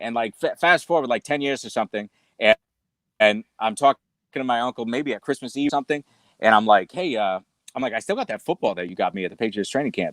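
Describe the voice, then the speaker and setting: Very fast and with lively intonation, a man speaks at a medium pitch in a slight New England accent. The recording is very clean, with a silent background and a dry, close sound with no echo. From New England, US. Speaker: cigar company sales executive. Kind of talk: casual interview chat. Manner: halting, many fillers.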